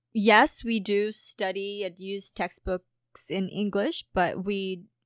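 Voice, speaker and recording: In a dry, close sound with no echo, a woman with a Filipino accent speaks at a very slow pace, her pitch medium and her intonation fairly even. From Philippines. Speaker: podcast co-host and reaction youtuber. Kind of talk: casual chat. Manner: halting, many fillers.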